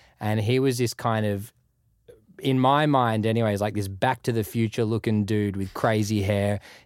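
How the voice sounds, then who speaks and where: Here a man speaks in an Australian accent at a moderate pace. The recording is very clean, with a silent background. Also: fairly low pitch for a man, fairly even intonation. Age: 30s. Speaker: music producer. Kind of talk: casual interview chat.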